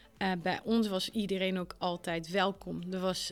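Flat, monotone intonation marks this woman's medium-pitched voice. She speaks at a fairly slow pace. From small village in France, foreign family. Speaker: trainer of teachers in digital skills. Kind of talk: interview. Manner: hesitant, many fillers.

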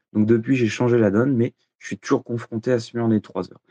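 A man's medium-pitched, dark and mellow voice at a moderate pace. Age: 30s. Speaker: listener, amateur triathlete. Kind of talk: recorded listener question.

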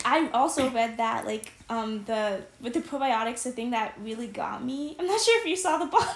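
An animated tone with lively intonation at a moderate pace, set against noticeable background noise. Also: woman, high pitch for a woman, hardly any pauses. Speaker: podcast co-host, college student. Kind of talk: casual chat.

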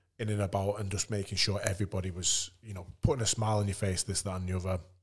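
On a very clean recording with a silent background, a man speaks in a northern English accent. His voice is fairly low, somewhat breathy and monotone, with flat intonation. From northern England. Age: 30s. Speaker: retired rugby league player. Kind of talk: casual chat.

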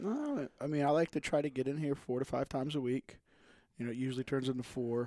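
A man speaks at a very fast pace in a medium pitch with a dark, mellow tone. His intonation is monotone and flat, and the sound is dry and close with no echo. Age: 30s. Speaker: gym member. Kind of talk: casual chat.

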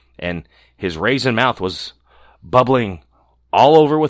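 In an animated, playful tone, a man at medium pitch makes very wide pitch swings with vocal fry. The sound is dry and close with no echo, on a very clean recording with a silent background. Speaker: storyteller reading aloud. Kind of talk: bedtime story reading aloud. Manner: animated storyteller voice, playful character voices; measured, gentle pacing.

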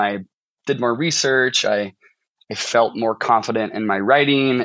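The man speaks with a St. Louis accent. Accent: Midwestern American (St. Louis). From US Midwest, St. Charles, Missouri (St. Louis suburbs). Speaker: fiction writer, MFA student. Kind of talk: casual interview chat.

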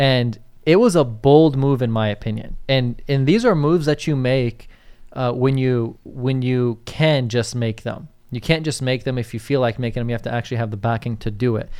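Here a man of medium pitch speaks with fairly even intonation in an ordinary speaking voice. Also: moderate pace. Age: 20s. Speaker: real estate agent and podcast co-host. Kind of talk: casual chat.

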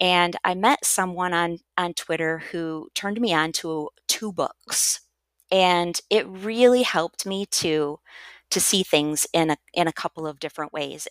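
A woman with an American accent and a normal speaking voice talks at a fairly slow pace, fairly low in pitch, with ordinary pitch variation. The sound is dry and close with no echo, in a very clean recording with a silent background. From US Midwest. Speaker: educator and author. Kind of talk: interview conversation.

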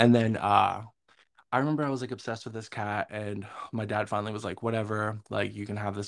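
This is an ordinary speaking voice with an American accent. The pace is fairly quick. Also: man, very clean recording, silent background. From Northern New York. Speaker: podcast co-host. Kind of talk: casual chat.

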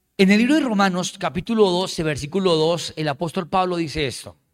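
Lively intonation marks a man's high-pitched voice at a moderate pace. The recording is very clean, with a silent background. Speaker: pastor. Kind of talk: sermon. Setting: church.

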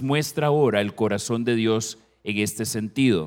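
Fairly slow and with ordinary pitch variation, a man talks in a normal speaking voice. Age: 50s. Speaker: family counselor and guest preacher. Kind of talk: sermon. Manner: formal.

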